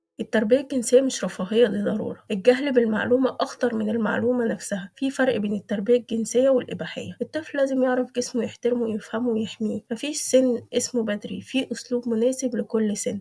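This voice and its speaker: A woman with an Egyptian accent speaks in a calm tone at a fairly quick pace and a high pitch, with fairly even intonation and hardly any pauses. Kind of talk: parenting advice talk summarizing a book. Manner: calm, clear.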